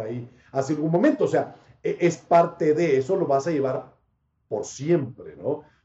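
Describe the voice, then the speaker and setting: A man speaks in a northern Mexican accent. His pace is fairly slow. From Panama. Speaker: sports broadcaster. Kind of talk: casual interview.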